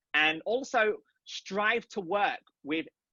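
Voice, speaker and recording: A man speaks with lively intonation. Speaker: film director and producer. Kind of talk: interview conversation. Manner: fast.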